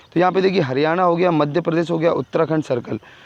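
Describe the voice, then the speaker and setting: A man speaks with a high-pitched voice. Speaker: exam and job news youtuber. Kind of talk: tutorial. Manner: fast.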